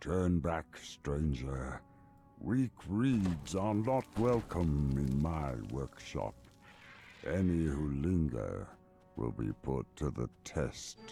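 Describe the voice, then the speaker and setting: A man does a booming, put-on character voice with a very deep, low pitch. He talks at a very slow pace over clear background music. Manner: warning, commanding.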